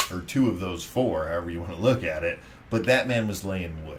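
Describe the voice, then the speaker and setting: A man speaks with an American accent and lively intonation. Noticeable background noise and audible room echo are in the recording. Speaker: podcast co-host. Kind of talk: casual chat. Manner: loud; animated.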